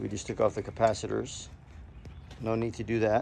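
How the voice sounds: A man's fairly low, slightly mellow voice with vocal fry and monotone, flat intonation. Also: moderate pace.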